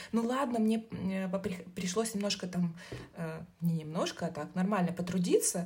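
Somewhat breathy, a woman speaks at a fairly slow pace with medium pitch, ordinary pitch variation and a dark, mellow tone. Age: 30s. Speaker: marketer, new mother. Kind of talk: casual chat.

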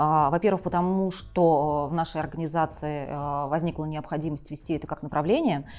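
Music plays in the background. Over it, a woman speaks at a fairly low pitch. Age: 40s. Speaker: career counselor and psychologist. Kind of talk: monologue to camera.

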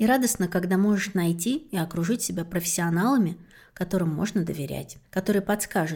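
Somewhat breathy and dark, mellow in tone, a woman talks at a moderate pace with ordinary pitch variation over a silent background on a very clean recording. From rural Russia. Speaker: podcast host. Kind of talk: interview.

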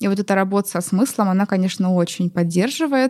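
A woman's medium-pitched voice at a moderate pace, an ordinary speaking voice. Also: very clean recording, silent background. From Russia, Nizhny Novgorod. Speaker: eco-activist. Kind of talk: interview.

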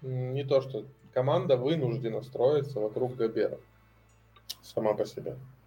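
At a fairly slow pace and with long, frequent pauses, a man speaks at medium pitch in a somewhat breathy voice with a dark, mellow tone. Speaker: basketball blogger, podcast guest. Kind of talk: casual chat. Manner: animated, cheerful.

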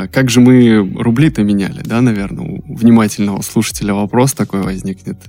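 The pace is fairly quick, with hardly any pauses. The tone is dark and mellow, and the pitch varies in an ordinary way. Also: man, fairly low pitch for a man. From Russia, Saint Petersburg. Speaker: podcast producer, former car salesman. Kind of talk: casual chat.

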